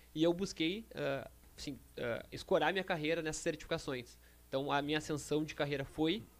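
This man speaks in a fairly high pitch with vocal fry. His pace is fairly quick and his intonation fairly even. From Rio Grande do Sul, Brazil (Canoas). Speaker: financial market professional. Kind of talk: casual chat. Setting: studio.

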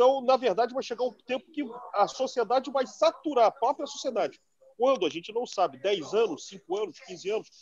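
Speaking at a fairly quick pace, a man uses an extremely high pitch and lively intonation. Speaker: political commentator. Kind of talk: political discussion.

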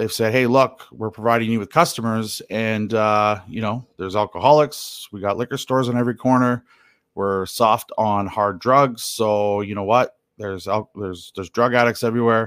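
In a western Canadian accent, a medium-pitched man speaks fairly quickly on a very clean recording with a silent background. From Canada, Alberta (Hinton). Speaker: podcaster, recovering addict, political commentator. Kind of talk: casual personal monologue. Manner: hesitant, many fillers and repetitions.

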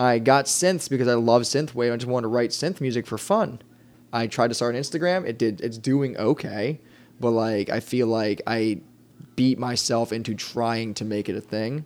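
The speech moves at a moderate pace with ordinary pitch variation. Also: man, medium pitch for a man. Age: 20s. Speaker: band vocalist. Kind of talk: casual chat. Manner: enunciates carefully.

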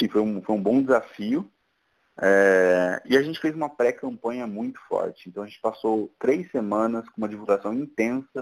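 An unremarkable speaking voice from a man, fairly low in pitch, at a moderate pace with ordinary pitch variation. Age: 30s. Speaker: tech entrepreneur. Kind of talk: casual interview.

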